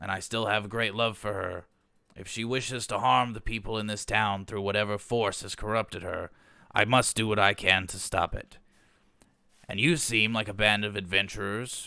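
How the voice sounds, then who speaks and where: Using a put-on character voice, a man speaks in a raspy, fairly low pitch at a moderate pace with fairly even intonation, on a very clean recording with a silent background. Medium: actual play. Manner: earnest, formal.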